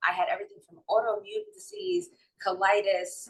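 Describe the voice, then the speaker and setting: At a moderate pace, a woman speaks in a strong New York accent. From New York City and North Jersey. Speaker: holistic wellness and mindset coach. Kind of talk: interview, personal testimony.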